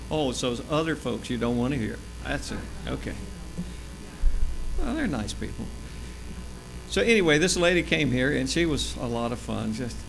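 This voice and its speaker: In a space with audible room echo, a man speaks at a moderate pace with long, frequent pauses. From US South, Florida (Tampa area). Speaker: church health presenter. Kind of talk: church talk. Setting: church. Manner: loud; casual, joking.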